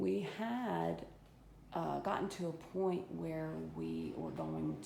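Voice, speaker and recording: Audible room echo follows a woman as she speaks. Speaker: home renovator giving a walk-through. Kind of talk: casual video walk-through. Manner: halting, with many fillers.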